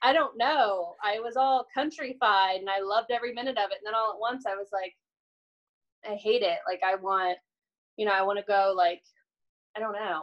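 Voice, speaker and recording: A woman with an American accent, fairly high in pitch with ordinary pitch variation, at a moderate pace with long, frequent pauses, over a quiet background. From US Midwest. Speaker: podcast guest. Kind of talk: casual chat. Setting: video call. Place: home room. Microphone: video call.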